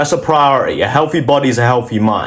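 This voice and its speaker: A man with a British accent, fairly high pitch and ordinary pitch variation at a fairly quick pace, with audible room echo. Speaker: motivational vlogger. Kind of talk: motivational monologue. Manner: animated.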